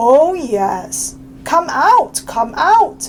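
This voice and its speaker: A woman performs a put-on character voice over clear background noise. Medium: read story. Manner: polite, gentle.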